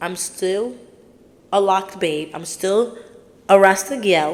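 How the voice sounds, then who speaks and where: At a fairly slow pace, a woman speaks at medium pitch. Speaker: podcast host. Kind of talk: casual monologue. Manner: loud.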